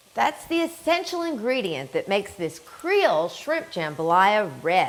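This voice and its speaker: With noticeable background noise around her, a woman speaks at a fairly slow pace, her pitch swinging very widely. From New Orleans. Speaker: chef, culinary instructor. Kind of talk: cooking demonstration.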